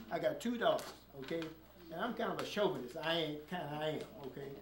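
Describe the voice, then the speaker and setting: A man talks at a very fast pace with ordinary pitch variation, amid noticeable background noise and audible room echo. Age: 70s. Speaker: preacher and community activist. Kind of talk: public speech at community meeting. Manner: frequent filler 'okay' and hesitations.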